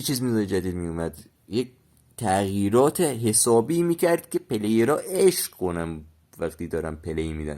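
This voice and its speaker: The recording is very clean with a silent background, carrying a voice of dark, mellow tone. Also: man. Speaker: gaming youtuber. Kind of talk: casual gaming chat to viewers. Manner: casual, halting with fillers.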